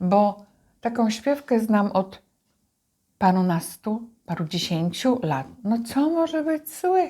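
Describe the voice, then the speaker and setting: On a very clean recording with a silent background, a woman speaks at a very slow pace in a somewhat breathy, dark, mellow voice. Her pitch is fairly high, with very wide pitch swings. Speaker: mother co-hosting a video series. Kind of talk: casual chat.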